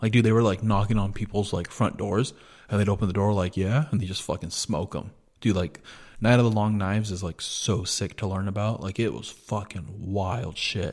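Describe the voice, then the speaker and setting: Using an ordinary speaking voice, a man speaks at a fairly low pitch, a moderate pace and with fairly even intonation on a very clean recording with a silent background. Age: 30s. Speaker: podcast co-host. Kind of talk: casual chat.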